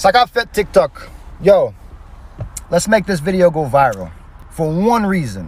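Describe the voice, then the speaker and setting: Over noticeable background noise, a man talks at a fairly slow pace in an animated tone. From Haiti. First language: Haitian Creole. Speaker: social media creator. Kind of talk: casual direct-to-camera video.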